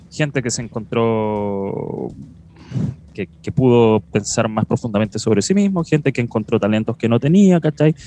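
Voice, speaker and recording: Music plays in the background as a man with a Chilean accent speaks at a fairly slow pace, his pitch medium and his intonation lively. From southern rural Chile. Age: 30s. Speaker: podcast host. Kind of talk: casual chat.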